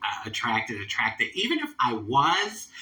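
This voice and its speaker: A woman's very deep, low voice with an American accent, a moderate pace, very wide pitch swings and noticeable background noise. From Philadelphia, US. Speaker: transgender activist and show host. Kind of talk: casual storytelling monologue.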